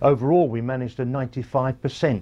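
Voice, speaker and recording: A man talks in a dark, mellow, somewhat breathy tone over noticeable background noise. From England. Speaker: former naval serviceman. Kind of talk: recorded interview recollection. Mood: reminiscing, calm. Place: home room.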